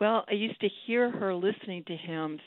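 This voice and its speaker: A woman speaks in a normal speaking voice with an American accent. Her pace is moderate and her pitch variation ordinary. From New York City, Manhattan. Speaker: poet. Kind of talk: radio interview.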